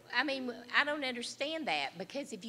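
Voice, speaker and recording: A woman with an American accent, bright and sharp in tone, lively in intonation, at a moderate pace. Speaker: county commissioner. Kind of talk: audience comment. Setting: conference room with audience.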